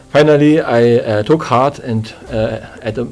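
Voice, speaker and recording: A man with a German accent at a medium pitch and ordinary pitch variation, over noticeable background noise. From East Germany. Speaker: church deacon. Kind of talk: interview. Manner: halting.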